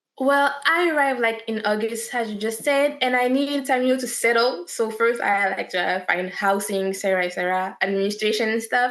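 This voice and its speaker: A fairly high-pitched woman with a French accent, fairly quick and hardly pausing, ordinary pitch variation, over noticeable background noise. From France. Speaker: actress. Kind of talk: interview.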